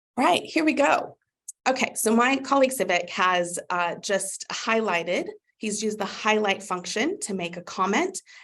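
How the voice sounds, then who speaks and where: A woman with an American accent speaks in an unremarkable speaking voice at medium pitch. Her intonation is lively and her pace moderate. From USA. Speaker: customer success manager. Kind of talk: webinar product demo. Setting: live webinar. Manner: upbeat, conversational.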